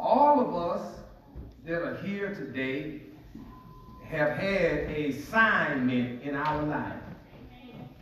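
A man's fairly high voice at a very slow pace, with lively intonation, big swings in loudness, long, frequent pauses, audible room echo, and light background noise. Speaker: pastor. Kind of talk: sermon. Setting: church. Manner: call-and-response, animated; fervent, rhythmic, preaching cadence. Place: church.

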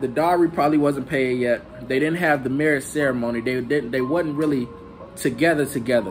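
A man at a very fast pace, ordinary pitch variation, music in the background. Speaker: bible teacher. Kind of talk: casual scripture teaching. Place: home room. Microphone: phone near.

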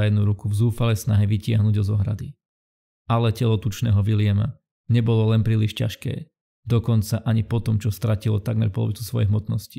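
A man with a somewhat breathy, dark, mellow tone and a fairly low pitch speaks at a fairly quick pace in a monotone, flat intonation, his loudness very even throughout. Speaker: channel narrator.

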